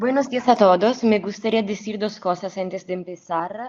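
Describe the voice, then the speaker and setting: A woman speaks with a non-native accent at a moderate pace. Her pitch varies in an ordinary way. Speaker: academic researcher. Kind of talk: conference talk. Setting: remote video link. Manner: formal, read from script; occasional stumbles.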